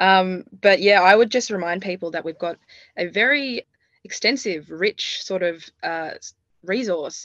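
At a fairly slow pace, a woman speaks in an Australian accent at medium pitch with ordinary pitch variation. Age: 20s. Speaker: university student. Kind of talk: interview.

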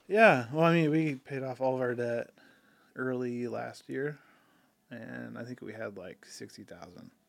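At a fairly slow pace, a man speaks at medium pitch in an unremarkable speaking voice, with ordinary pitch variation and big swings in loudness. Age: 30s. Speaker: videographer and business owner. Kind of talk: casual chat.

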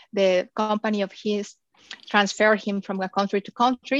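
In a Spanish accent, a woman speaks at a moderate pace and medium pitch, with a dry, close sound and no echo. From Mexico. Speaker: digital marketing agency founder. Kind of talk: interview.

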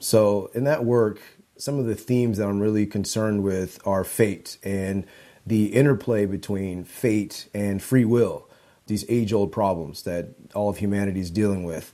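A man with a fairly low pitch and a dark, mellow tone speaks at a moderate pace with fairly even intonation, in a very clean recording with a silent background. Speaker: visual artist and spoken word poet. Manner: thoughtful, articulate.

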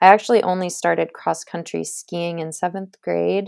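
In a very clean recording with a silent background, a woman with an American accent speaks at a moderate pace. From Maine, US. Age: 30s. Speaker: biathlete. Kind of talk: interview.

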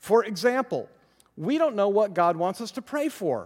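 This man's high pitch rises and falls in very wide swings. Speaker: Bible teacher. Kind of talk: Bible study lecture. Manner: emphatic, deliberate pacing; slow.

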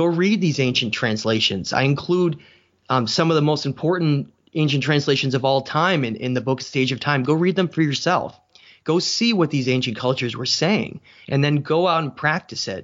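He has an unremarkable speaking voice with an American accent and a fairly high pitch. The man speaks at a moderate pace with ordinary pitch variation. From New Hampshire, US. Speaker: author and researcher. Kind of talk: interview.

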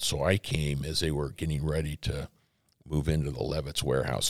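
Using vocal fry, a man with an American accent speaks at a fairly quick pace in a very deep, low voice. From Arizona. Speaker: pastor. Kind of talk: interview.

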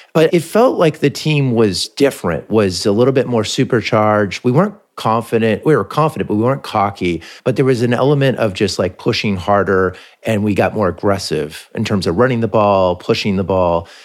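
A man with an American accent and an unremarkable speaking voice, fairly low in pitch, lively in intonation, at a fairly quick pace. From California, Palo Alto. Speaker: podcast host. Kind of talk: casual interview.

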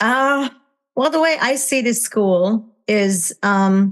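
A woman is speaking. She has a Hungarian accent. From Hungary. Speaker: parenting coach. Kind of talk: interview. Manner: halting, many fillers.

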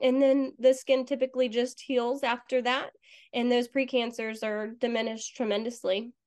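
Against a quiet background, a woman with a high pitch speaks at a moderate pace in monotone, flat intonation. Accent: American. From Florida. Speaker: dermatology nurse. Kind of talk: interview.

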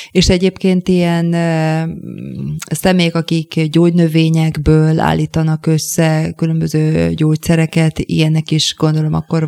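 Very deep and low, a woman's voice moves at a fairly slow pace in a monotone, flat delivery. The sound is dry and close with no echo, though background noise is noticeable. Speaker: radio host. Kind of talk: interview. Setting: studio.

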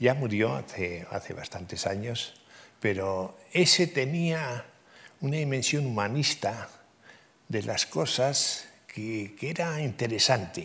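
Using lively intonation, a man talks very slowly at a medium pitch. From Navarre, Spain. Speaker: civil engineer and professor. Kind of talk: interview conversation. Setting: stage with audience.

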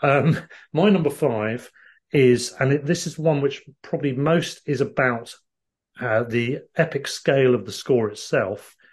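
Somewhat breathy, fairly high male voice with ordinary pitch variation. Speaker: film podcast co-host. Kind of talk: casual chat.

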